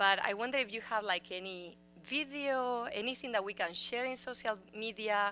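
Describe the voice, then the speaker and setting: This woman has a Spanish accent and a fairly high pitch. She talks at a moderate pace with ordinary pitch variation. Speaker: school board member. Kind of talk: audience question at public forum. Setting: city council chambers forum.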